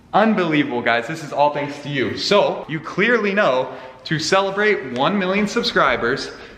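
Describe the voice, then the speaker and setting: The man's fairly high-pitched voice comes with audible room echo and noticeable background noise. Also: lively intonation. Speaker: car youtuber. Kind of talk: casual chat to camera. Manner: fast; animated.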